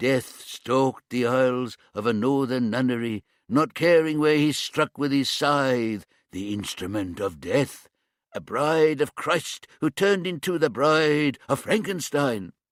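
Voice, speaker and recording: Using a put-on character voice, a man speaks at a fairly slow pace. His pitch sits at a medium level. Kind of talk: theatrical, melodramatic. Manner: spooky, mock-dramatic.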